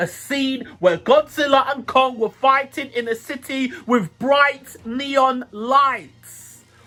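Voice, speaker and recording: A man speaks in an extremely high, bright, sharp voice that is raised and projected. His tone is animated. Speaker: youtube movie reviewer. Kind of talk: casual movie review monologue.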